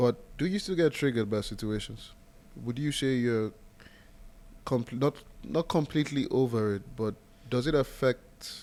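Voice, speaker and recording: Pausing long and often, a man with a non-native accent speaks at a moderate pace with a medium pitch and ordinary pitch variation. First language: not English. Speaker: podcast host. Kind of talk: casual chat.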